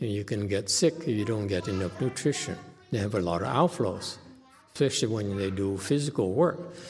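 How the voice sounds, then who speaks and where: Here is a man with a normal speaking voice, pitched fairly low. He talks at a moderate pace with lively intonation. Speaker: Chan Buddhist teacher. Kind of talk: live Q&A teaching session. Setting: online livestream with viewer questions.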